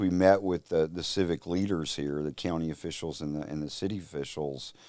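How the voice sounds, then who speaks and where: A man with a strong Louisiana accent, very deep and low in pitch, with fairly even intonation. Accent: Louisiana Southern accent, strong. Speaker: telecom company executive. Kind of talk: casual interview. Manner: hesitant, many fillers.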